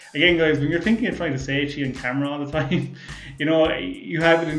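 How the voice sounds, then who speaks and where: A man with an Irish accent talks at a very fast pace over background music, with audible room echo. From Ireland. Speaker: car YouTuber, podcast host. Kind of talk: casual chat reading viewer comments. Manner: sometimes talks fast; mumbles at times, many fillers.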